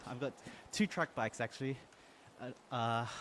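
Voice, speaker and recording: The speaker is a man with an Australian accent. He talks at a medium speed. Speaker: gaming streamer. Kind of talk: live stream chat while cycling. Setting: indoor trainer with fan behind, switched off.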